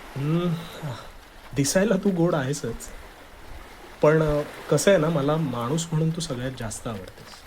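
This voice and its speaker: A man talks fairly high in pitch, with ordinary pitch variation, and noticeable background noise behind him. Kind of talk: scripted romantic dialogue voiceover. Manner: hesitant, then warm and sincere.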